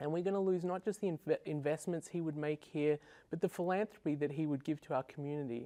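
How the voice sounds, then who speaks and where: Speaking very fast with an Australian accent, a man uses a fairly high, dark, mellow voice and fairly even intonation, recorded dry and close with no echo against a quiet background. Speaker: software engineer, debate panelist. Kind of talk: televised debate. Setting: TV studio.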